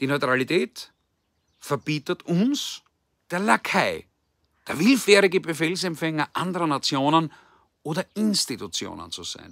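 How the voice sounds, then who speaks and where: Against a quiet background with dry, echo-free sound, a man with a fairly high pitch and vocal fry speaks at a fairly slow pace, using lively intonation, big swings in loudness and long, frequent pauses. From Austria. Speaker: political commentator. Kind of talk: political address. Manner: formal. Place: garden. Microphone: phone near.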